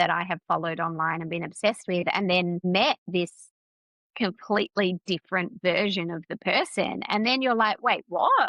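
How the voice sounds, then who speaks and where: A woman with an Australian accent, medium pitch, lively intonation and a moderate pace. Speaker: business mentor. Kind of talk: casual interview chat. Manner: loud, energetic.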